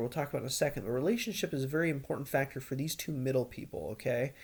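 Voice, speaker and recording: Somewhat breathy and fairly high-pitched, a man speaks at a very fast pace with hardly any pauses. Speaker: insurance sales trainer. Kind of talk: webinar presentation.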